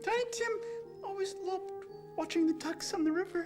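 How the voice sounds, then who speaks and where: Clear music plays behind a put-on character voice that sounds female. She speaks at an extremely high pitch and a fairly quick pace. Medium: short film.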